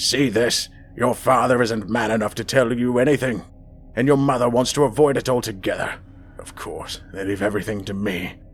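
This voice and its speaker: Putting on a gravelly, raspy character voice, a man speaks at a medium pitch and a moderate pace with fairly even intonation and big swings in loudness, against clear background noise. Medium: read story. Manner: stern, scolding.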